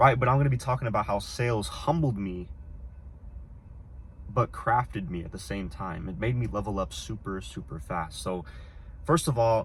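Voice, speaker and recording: This man's fairly low voice has vocal fry and very wide pitch swings. He talks at a fairly quick pace. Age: 20s. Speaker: discipline coach. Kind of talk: casual talk to camera. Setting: in a car.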